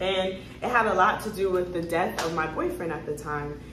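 There is audible room echo and light background noise. A woman talks at a moderate pace with ordinary pitch variation. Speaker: lifestyle vlogger. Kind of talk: casual vlog chat. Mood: reflective, talks about grief. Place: home room. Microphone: phone near.

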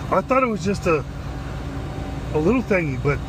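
A man at a fairly quick pace, with noticeable background noise. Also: dry sound with no echo. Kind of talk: casual vlog commentary. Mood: incredulous, amused. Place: car. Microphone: phone near.

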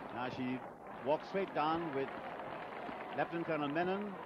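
A man talks at a fairly quick pace with a dry sound and no echo. Loud noise fills the background. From India. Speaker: radio commentator. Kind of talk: live ceremonial event commentary. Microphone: old recording.

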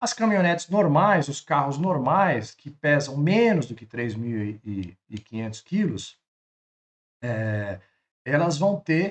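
A man speaks at a very slow pace and fairly high pitch. His pitch swings very widely and his loudness shifts a great deal. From Brazil. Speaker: travel trailer channel host. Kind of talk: explainer video. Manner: animated; halting. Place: home room. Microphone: webcam.

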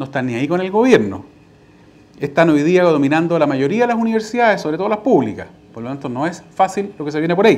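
Pitched high for a man, this voice moves very fast. The man's pitch swings very widely. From Chile. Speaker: party official. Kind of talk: lecture. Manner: conversational, frequent fillers. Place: hall. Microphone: lapel.

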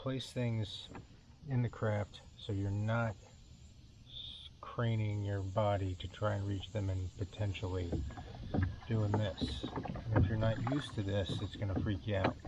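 A man mumbles at a fairly slow pace, with long, frequent pauses and a fairly low pitch. The sound is dry with no echo, though loud background noise is present. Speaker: weekend kayak angler. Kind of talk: casual talk to camera. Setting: outdoors, on the water, low-quality camera mic. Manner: mumbling. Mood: relaxed, friendly. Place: boat. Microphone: camera far.

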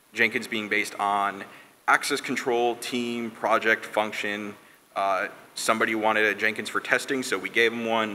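A man speaks in an ordinary speaking voice, pitched fairly low, with light background noise behind him. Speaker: conference speaker. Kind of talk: technical talk. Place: stage. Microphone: podium.

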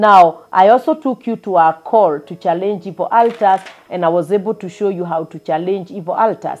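A woman's speech has ordinary pitch variation and moves at a moderate pace. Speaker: preacher. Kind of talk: sermon. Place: home room. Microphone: lapel.

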